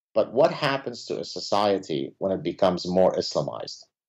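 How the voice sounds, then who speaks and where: Talking at a moderate pace, a man with an Arabic accent has a fairly low pitch and lively intonation. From Lebanon. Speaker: professor. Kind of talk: interview.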